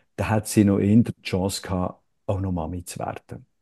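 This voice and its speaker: A man with a dark, mellow tone talks at a moderate pace. The sound is dry and close with no echo, over a quiet background. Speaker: actor and satirist. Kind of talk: interview conversation. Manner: halting, many fillers.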